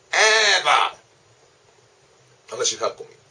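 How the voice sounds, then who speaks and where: Noticeable background noise sits behind a man's voice. He talks at a moderate pace. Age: 40s. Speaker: comedian. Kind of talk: casual monologue to camera. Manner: casual.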